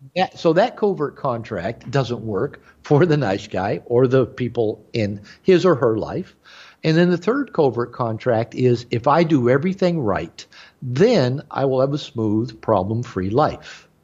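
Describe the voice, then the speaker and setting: Against a quiet background, a man with a medium-pitched voice speaks at a fairly slow pace with lively intonation. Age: 60s. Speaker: therapist and author. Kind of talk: interview. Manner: halting, frequent repeated words and fillers.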